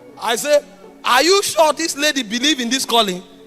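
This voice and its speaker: With music in the background, a man speaks at an extremely high pitch in a Nigerian accent. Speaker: preacher. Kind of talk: sermon.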